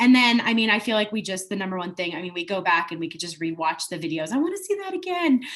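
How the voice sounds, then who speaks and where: Speaking at a very fast pace, a woman talks in a medium pitch over noticeable background noise. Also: ordinary pitch variation, hardly any pauses. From US, born in Italy. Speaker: homeschooling parent. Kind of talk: testimonial interview. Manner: casual, many filler words.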